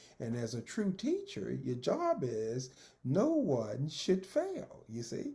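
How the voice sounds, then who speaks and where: A man speaks with a Texan accent. His pace is very slow. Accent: Texan Southern US. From Texas. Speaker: retired school principal and educator. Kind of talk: oral history interview answer. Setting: video call.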